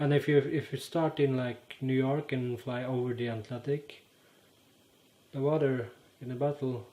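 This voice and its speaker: With a Norwegian accent, a man speaks at a medium pitch and a fairly slow pace, his tone dark and mellow and his intonation monotone and flat. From Norway. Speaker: YouTuber. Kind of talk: casual explainer monologue. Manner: halting, many fillers.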